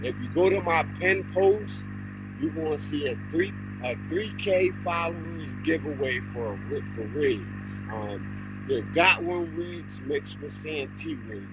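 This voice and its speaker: Through noticeable background noise and audible room echo, a man with a fairly low pitch talks at a fairly slow pace with lively intonation. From Harrisburg, Pennsylvania, US. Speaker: fishing livestreamer. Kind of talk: live stream chat. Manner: loud.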